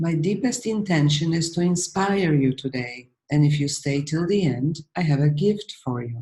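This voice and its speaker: A woman's very deep, low, dark and mellow voice, somewhat breathy, with lively intonation, at a moderate pace with hardly any pauses, in a Polish accent. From Poland. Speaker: healing coach. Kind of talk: webinar presentation.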